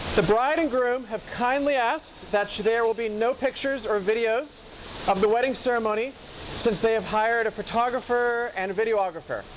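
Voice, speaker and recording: A fairly high-pitched woman's voice at a fairly quick pace, with ordinary pitch variation and noticeable background noise. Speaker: wedding officiant. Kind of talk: wedding announcements. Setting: wedding venue with guests. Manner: loud, projecting.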